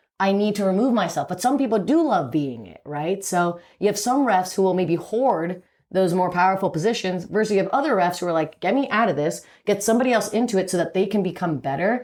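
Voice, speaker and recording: Very fast and full of lively intonation, a voice with a New York accent comes through in a very clean recording with a silent background. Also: woman, medium pitch for a woman. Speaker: powerlifting referee. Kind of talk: podcast conversation.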